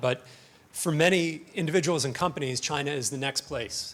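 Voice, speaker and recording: A man with a North American accent speaks at a very fast pace. Background noise is noticeable. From North America (US/Canada). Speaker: conference speaker, financial research analyst. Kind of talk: conference presentation. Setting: conference stage with audience. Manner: casual, hesitant with fillers.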